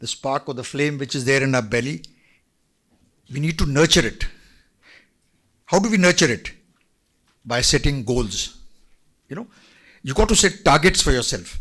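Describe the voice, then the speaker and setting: Lively in intonation and bright and sharp in tone, the voice moves at a moderate pace with long, frequent pauses. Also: man, fairly high pitch for a man. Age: 70s. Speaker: retired army general. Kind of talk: motivational talk to students. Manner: animated.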